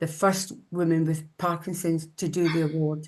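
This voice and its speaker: A woman with a plain, everyday voice speaks at a moderate pace over a quiet background. Her pitch is fairly low and her intonation fairly even. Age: 60s. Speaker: Nordic walking instructor living with Parkinson's. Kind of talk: webinar presentation.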